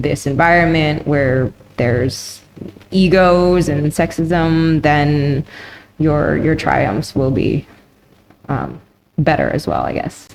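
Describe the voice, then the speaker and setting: Speaking at a very slow pace with a very deep, low pitch and ordinary pitch variation, a woman comes through noticeable background noise. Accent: Canadian. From Canada. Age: 30s. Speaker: professional Muay Thai fighter. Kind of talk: interview. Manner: halting.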